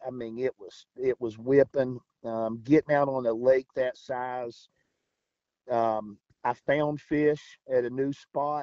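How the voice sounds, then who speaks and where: In an Appalachian accent, the speaker talks very slowly with a dark, mellow tone, monotone, flat intonation, big swings in loudness, and a dry, close sound with no echo. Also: man, medium pitch for a man. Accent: Appalachian American. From West Virginia. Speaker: kayak fishing tournament angler. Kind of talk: interview.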